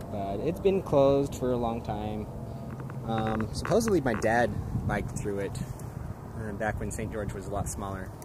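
Amid noticeable background noise, the dry, echo-free recording carries speech at a moderate pace with ordinary pitch variation and long, frequent pauses. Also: man. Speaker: local history vlogger. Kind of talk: casual vlog chat. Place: open country. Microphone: phone near.

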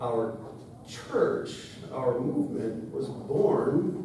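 Speaking at a very slow pace, a man is heard with strong room echo and light background noise. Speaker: church pastor giving a sermon. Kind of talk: sermon, casual preaching. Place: church.

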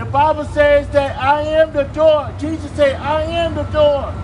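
A man with an American accent speaks at a fairly slow pace, with light background noise behind him. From East Coast, USA. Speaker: visiting street preacher. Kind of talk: open-air street preaching. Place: street. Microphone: camera far.

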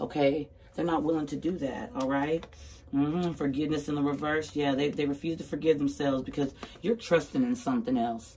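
A woman's very deep, low voice at a fairly quick pace, with light background noise. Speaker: tarot card reader. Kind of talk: casual tarot reading. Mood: sassy, emphatic. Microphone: phone near.

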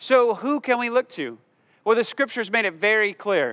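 A man is talking. The background is quiet. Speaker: pastor. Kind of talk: sermon. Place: church. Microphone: headset.

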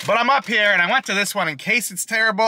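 Noticeable background noise under a male voice, the sound dry and free of echo. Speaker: food reviewer. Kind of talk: casual vlog chat. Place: car. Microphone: phone near.

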